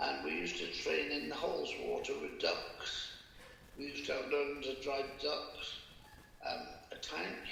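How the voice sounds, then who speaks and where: The speaker has a West Country accent and talks at a fairly slow pace. Noticeable background noise runs underneath. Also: man. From Bath, England. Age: 80s+. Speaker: war veteran. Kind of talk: interview answer.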